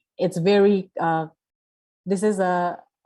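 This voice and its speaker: A woman speaks at a fairly slow pace in a dark, mellow tone. Her intonation is monotone and flat. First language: not English. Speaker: panel speaker. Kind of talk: panel discussion. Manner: halting, many fillers and repetitions.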